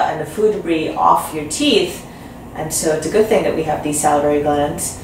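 A woman speaks in a very deep, low pitch with ordinary pitch variation. Light background noise and audible room echo are present. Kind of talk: interview answer. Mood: calm, explanatory. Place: office.

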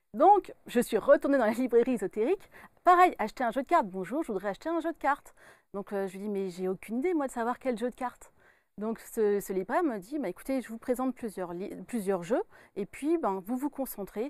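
Against a quiet background with a dry sound and no echo, a woman talks at a fairly quick pace with very wide pitch swings. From France, Burgundy (Dijon). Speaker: medium and author. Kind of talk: interview. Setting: studio. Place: studio. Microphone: lapel.

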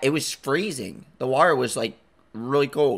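This man speaks at a fairly high pitch. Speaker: YouTube reaction streamer. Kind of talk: casual reaction commentary. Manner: mumbles sometimes. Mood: relaxed, jokey.

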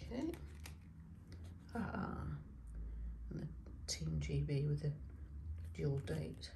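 The voice has a dark, mellow tone with vocal fry and lively intonation. Room echo is audible. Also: woman.

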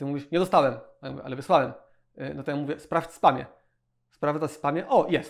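Over a quiet background, a man with a fairly high voice speaks at a fairly quick pace with long, frequent pauses. His intonation is fairly even, but his loudness swings widely. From Poland. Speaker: web agency owner. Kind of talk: tutorial. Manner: casual, repetitive fillers. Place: office. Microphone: lapel.

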